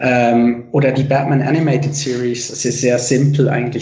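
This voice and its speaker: Through noticeable background noise and audible room echo, a man with a fairly high pitch speaks at a moderate pace in monotone, flat intonation. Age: 30s. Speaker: comic artist. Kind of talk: casual interview chat. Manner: hesitant, many fillers.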